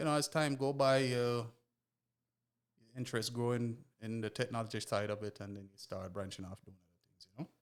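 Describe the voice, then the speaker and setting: A man with a Jamaican accent, medium-pitched with ordinary pitch variation, fairly quick in pace but broken by long, frequent pauses. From Jamaica, East Kingston. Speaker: mechanic and car tuner. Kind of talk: casual podcast chat.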